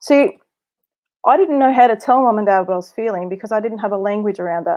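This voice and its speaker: A woman speaks with a fairly high pitch and ordinary pitch variation. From Australia. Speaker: abuse survivor and speaker. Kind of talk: testimony.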